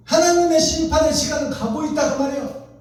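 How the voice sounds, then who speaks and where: A man speaks in an animated tone with audible room echo around him. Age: 60s. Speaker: pastor. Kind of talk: sermon.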